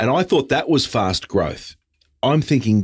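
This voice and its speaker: On a very clean recording with a silent background, a man with an Australian accent speaks at a medium pitch with very wide pitch swings. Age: 50s. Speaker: podcast host. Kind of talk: casual interview; scripted intro narration.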